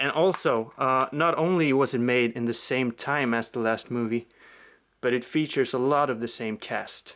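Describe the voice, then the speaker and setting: With a Swedish accent, a man speaks with ordinary pitch variation. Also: medium pitch for a man, moderate pace, very clean recording, silent background. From Sweden. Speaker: film collector YouTuber. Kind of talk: casual video review. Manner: hesitant, many fillers.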